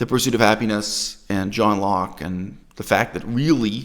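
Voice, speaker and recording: A man speaks at a moderate pace with a fairly low pitch and ordinary pitch variation. His is an unremarkable speaking voice. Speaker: video commentator, critic. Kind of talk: critical commentary, lecture-like.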